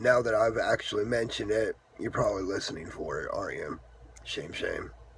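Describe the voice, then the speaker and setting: A man talks fairly quickly while noticeable noise is heard behind him. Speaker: vlogger with epilepsy. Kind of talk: casual vlog talk. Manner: hesitant, many fillers.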